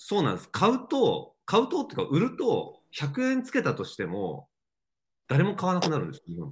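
A man speaks at a fairly quick pace. His volume swings a great deal. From Japan, Mie Prefecture. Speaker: outdoor brand creative director and entrepreneur. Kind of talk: casual interview.

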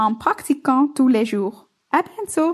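Using a high pitch, a woman with a Flemish accent speaks at a very slow pace. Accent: Dutch-speaking Belgian accent in French. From Flanders, Belgium (Bruges). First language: Dutch (speaking French). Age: 20s. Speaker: listener, French learner. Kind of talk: recorded listener message.

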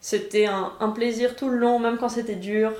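A woman talks in a flat monotone, and audible room echo can be heard. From France (Paris). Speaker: podcast host, former master's student. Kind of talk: casual chat.

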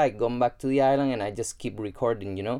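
Speaking with a Spanish accent, a man has a dark, mellow tone. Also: very clean recording, silent background. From Gran Canaria, Spain. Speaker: self-development podcaster. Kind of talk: solo podcast monologue. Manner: casual, with frequent fillers and repetitions.

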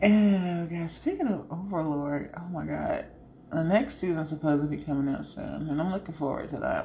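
Speaking at a fairly quick pace, a woman has a fairly low pitch and ordinary pitch variation. Audible room echo and noticeable background noise come through. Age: 30s. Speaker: podcast host. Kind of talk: casual chat. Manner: animated.

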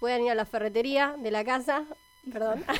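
A woman with a high voice talks at a moderate pace with ordinary pitch variation. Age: 20s. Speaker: scout program coordinator. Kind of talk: radio interview.

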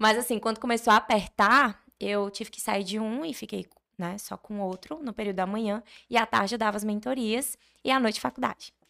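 A woman has a plain, everyday voice at a fairly high pitch, with ordinary pitch variation and big swings in loudness. She talks at a fairly quick pace in a very clean recording with a silent background. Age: 20s. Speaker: architect and online course creator. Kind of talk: casual interview.

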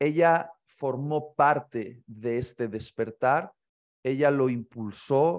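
A man's voice at medium pitch with ordinary pitch variation, over a quiet background. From Spain, Bilbao (Basque Country). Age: 30s. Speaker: pastor and author. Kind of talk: interview conversation. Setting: remote call.

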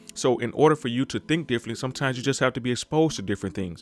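A man speaks with medium pitch. Music plays in the background. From Mississippi, small town. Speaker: podcast host. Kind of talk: solo podcast monologue. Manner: casual, conversational.

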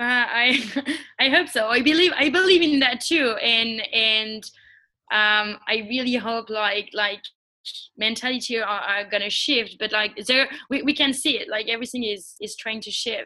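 A woman with a French accent, bright and sharp in tone, with ordinary pitch variation. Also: moderate pace. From France. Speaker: social entrepreneur. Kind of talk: interview. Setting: call. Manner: hesitant.

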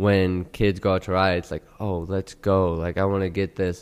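A man with an American accent has a very deep, low pitch and monotone, flat intonation. He speaks at a fairly slow pace on a very clean recording with a silent background. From Houston, Texas. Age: 20s. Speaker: pro BMX rider and coffee entrepreneur. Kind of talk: casual chat. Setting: studio.

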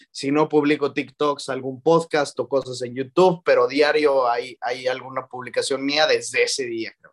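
A man talks in a central Mexican accent. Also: dry, close sound with no echo. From Mexico, León, Guanajuato. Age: 20s. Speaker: student and football content creator. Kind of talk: casual chat.

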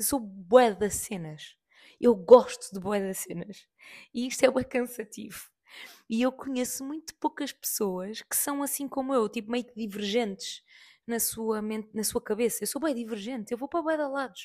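With a European Portuguese accent, a woman talks at a moderate pace in a fairly high pitch, her pitch varying in an ordinary way while her loudness swings widely. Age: 30s. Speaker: podcast host. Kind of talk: casual monologue.

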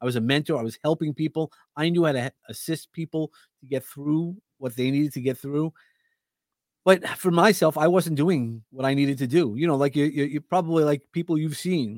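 The speaker has a New York accent. The pace is fairly quick. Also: man, fairly high pitch for a man, ordinary pitch variation, dry, close sound with no echo. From Brooklyn, New York. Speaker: podcast host and speaker. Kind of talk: casual interview chat.

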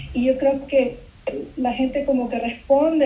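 The speech is monotone and flat, with audible room echo and noticeable background noise. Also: woman. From Peru (Lima) until 8, then raised in Miami. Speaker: illustrator. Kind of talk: interview. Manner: halting, many repetitions and fillers.

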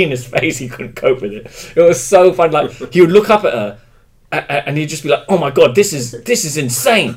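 A man in a London accent talks at a fairly quick pace and fairly high pitch, with very wide pitch swings. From England, London. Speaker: stand-up comedian. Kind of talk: casual chat.

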